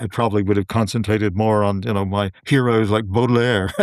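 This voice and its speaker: A man with an Appalachian accent talks fairly quickly in a monotone, flat delivery. The recording is very clean with a silent background. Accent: Southern Appalachian American. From Western North Carolina, USA. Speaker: novelist and poet. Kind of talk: podcast interview answer.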